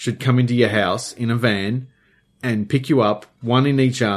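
The reading here comes in an unforced reading voice. Each line is read out that way from start to finish.

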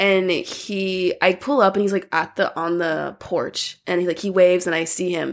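A woman talks in a plain, everyday voice at a medium pitch, with fairly even intonation. Her pace is moderate and she hardly pauses. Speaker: podcast guest. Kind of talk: casual chat.

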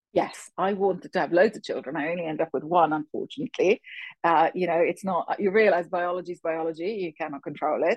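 A woman with a British accent, fairly low in pitch, at a very fast pace with ordinary pitch variation. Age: 50s. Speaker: finance executive and firm co-founder. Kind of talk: interview.

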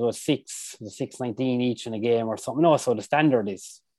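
Against a quiet background, a man speaks at medium pitch with an Irish accent. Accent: Tipperary Irish. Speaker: hurler. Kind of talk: casual chat.

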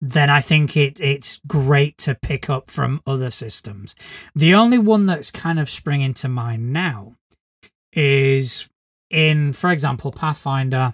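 Heard in a very clean recording with a silent background, the sound is dry and close with no echo. A man with a fairly high pitch speaks at a fairly slow pace, somewhat breathy, with ordinary pitch variation. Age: 40s. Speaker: podcast co-host, game master. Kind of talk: casual chat.

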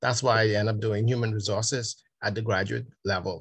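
Over a quiet background, a man speaks in a somewhat breathy, fairly low voice with monotone, flat intonation. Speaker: senior education official. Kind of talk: interview. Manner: halting.

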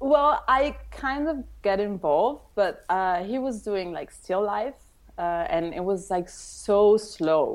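Medium-pitched female speech in an Italian accent, very slow in pace, with lively intonation and a quiet background. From Italy, Tuscany. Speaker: wedding photographer. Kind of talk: interview.

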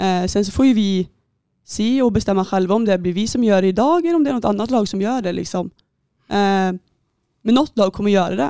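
In a very clean recording with a silent background, a woman speaks fairly quickly at a medium pitch, her tone dark and mellow and her intonation lively. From Västergötland, Sweden (near Skara). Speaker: handball goalkeeper. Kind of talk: casual interview.

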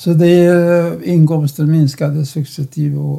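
Talking at a very slow pace, a man has a fairly high pitch. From Czechoslovakia. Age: 90s. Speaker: Holocaust survivor and lecturer. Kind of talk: interview. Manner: halting.

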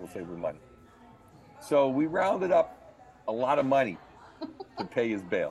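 This man talks at a medium pitch and a moderate pace, with very wide pitch swings, big shifts in loudness, long and frequent pauses, and noticeable background noise. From Bismarck, North Dakota. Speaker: stand-up comedian. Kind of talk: casual storytelling interview.

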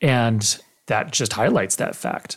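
A man with an American accent speaks at a medium pitch, sounding somewhat breathy. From US Arizona. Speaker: podcast host. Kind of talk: interview.

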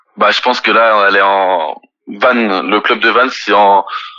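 A fairly low male voice at a moderate pace, its intonation fairly even. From France, Nantes. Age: 20s. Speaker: professional rugby player. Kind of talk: interview. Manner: halting.

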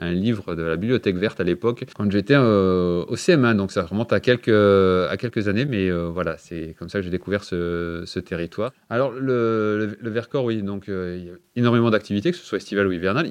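With hardly any pauses, a man speaks at a moderate pace in a fairly low pitch with ordinary pitch variation. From France, Lorraine. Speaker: mayor and engineer. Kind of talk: interview. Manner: hesitant, many fillers and repetitions.

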